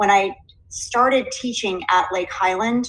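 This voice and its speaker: A woman speaks with an American accent at a moderate pace. Her pitch varies in an ordinary way. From Southwest Connecticut, US Northeast. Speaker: teacher. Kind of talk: recorded presentation. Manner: clear diction.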